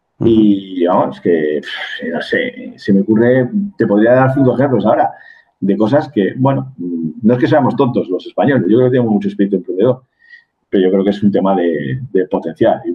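A man's unremarkable speaking voice at medium pitch and moderate pace. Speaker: business executive and mentor. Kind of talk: interview conversation.

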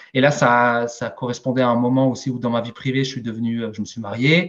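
The voice belongs to a man. It rests in the middle of his pitch range. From Alsace, Strasbourg. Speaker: sales director. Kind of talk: interview. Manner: hesitant, many fillers.

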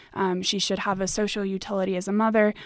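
In a very clean recording with a silent background, a woman with a plain, everyday voice talks at a fairly quick pace, her medium pitch held in fairly even intonation. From United States. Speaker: university student. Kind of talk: academic interview.

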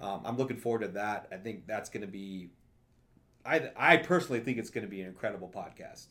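A man has a plain, everyday voice, speaking at a fairly quick pace with ordinary pitch variation. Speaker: podcast host. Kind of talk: casual chat.

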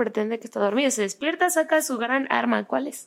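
With a plain, everyday voice, a woman talks at a fairly quick pace and fairly high pitch on a very clean recording with a silent background. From Mexico. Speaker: podcast host. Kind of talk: casual chat.

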